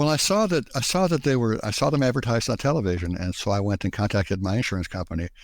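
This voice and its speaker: Very fast and with very wide pitch swings, a man speaks on a very clean recording with a silent background. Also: medium pitch for a man. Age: 60s. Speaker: patient with diabetes. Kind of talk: interview. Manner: halting, with many fillers and repeats.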